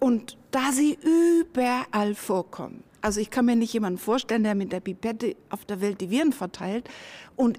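This woman's voice has a dark, mellow tone and a fairly high pitch. She talks at a moderate pace. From northern Germany. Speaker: virologist. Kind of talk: interview.

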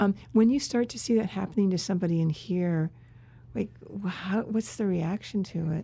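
A woman's dark, mellow tone is somewhat breathy. Her medium pitch shows ordinary variation. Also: moderate pace. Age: 60s. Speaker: podcast co-host and professor. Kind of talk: interview chat. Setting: studio.

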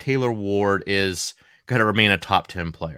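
The tone is bright and sharp as a man speaks with a New England accent at a fairly slow pace. The recording is very clean with a silent background. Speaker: fantasy baseball podcast host. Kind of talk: solo podcast analysis. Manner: casual, conversational.

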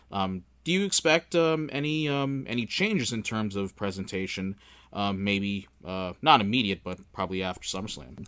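An ordinary speaking voice with lively intonation goes at a moderate pace against a quiet background. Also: man, fairly low pitch for a man. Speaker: podcast host. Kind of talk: casual interview.

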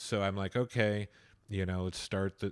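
In a very clean recording with a silent background and a dry, close sound with no echo, a man with a fairly low pitch and an ordinary speaking voice talks at a moderate pace. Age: 40s. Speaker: radio host. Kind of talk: casual chat.

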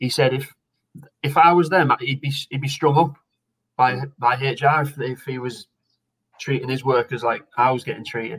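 Somewhat breathy, a man talks at a moderate pace with fairly even intonation. His speech has long, frequent pauses. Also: medium pitch for a man. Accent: Teesside. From northern England, Redcar near Middlesbrough. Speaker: retired footballer. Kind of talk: casual chat.

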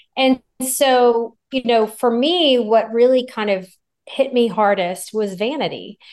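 In a normal speaking voice, a woman talks at a fairly slow pace. Her pitch is fairly high, with ordinary pitch variation. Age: 50s. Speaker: physician, gynecologist. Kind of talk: interview. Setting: video call.

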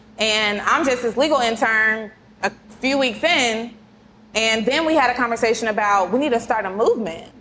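Against noticeable background noise, a woman with a fairly high pitch speaks at a moderate pace, with very even loudness and ordinary pitch variation. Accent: American. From Kansas City, US Midwest. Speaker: lawyer, podcast co-host. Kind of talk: casual chat.

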